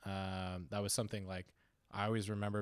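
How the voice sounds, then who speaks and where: In a Canadian accent, a man speaks at a fairly quick pace with a fairly low pitch and flat, monotone intonation. The recording is very clean, with a silent background. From Canada (Ontario). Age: 30s. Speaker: chef. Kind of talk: casual chat.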